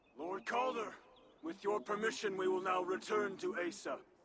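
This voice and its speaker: This man uses a put-on character voice, high-pitched and raspy. He delivers it at a moderate pace. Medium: video game. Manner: formal, respectful.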